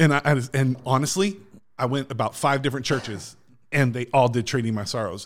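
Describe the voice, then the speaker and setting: A man at a medium pitch and fairly quick pace, a plain, everyday voice, very clean recording with a silent background. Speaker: pastor guest. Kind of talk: casual chat. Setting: studio.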